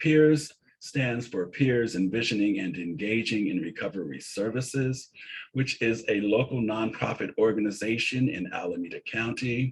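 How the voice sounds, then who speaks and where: Somewhat breathy, a man with an American accent talks at a medium pitch. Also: ordinary pitch variation, moderate pace. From San Francisco, US West Coast. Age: 60s. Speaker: peer support presenter. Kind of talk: webinar presentation.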